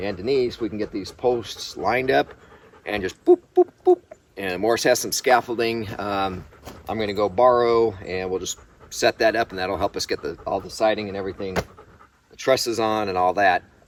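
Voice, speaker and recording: An ordinary speaking voice, a man with fairly low pitch talks at a moderate pace with fairly even intonation and big swings in loudness, the sound dry and close with no echo. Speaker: homesteader vlogger. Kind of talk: casual vlog narration.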